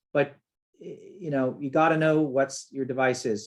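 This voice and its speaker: At a moderate pace, this is an unremarkable speaking voice. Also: man. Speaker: software developer presenting a webinar. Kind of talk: webinar tutorial. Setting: webinar with screen share. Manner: casual, with fillers.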